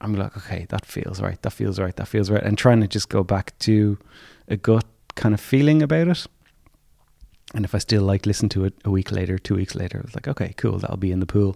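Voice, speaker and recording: With an Irish accent, a man speaks in a dark, mellow tone at a fairly low pitch with ordinary pitch variation. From Ireland, County Clare. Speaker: singer-songwriter. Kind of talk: interview. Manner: soft-spoken.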